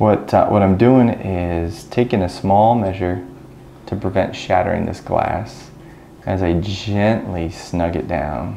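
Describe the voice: With audible room echo, a man speaks slowly in a low, dark, mellow voice with vocal fry and ordinary pitch variation.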